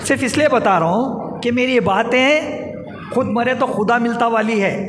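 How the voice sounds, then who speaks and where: Amid noticeable background noise and audible room echo, a man with an extremely high pitch keeps very even loudness and ordinary pitch variation. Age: 60s. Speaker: public speaker, community activist. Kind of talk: public speech.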